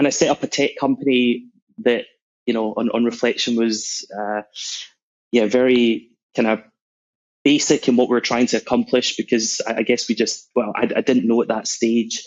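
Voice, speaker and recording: A man's medium-pitched voice with a Scottish accent, monotone and flat, at a moderate pace with long, frequent pauses. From Scotland, Glasgow. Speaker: sales executive. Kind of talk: podcast interview.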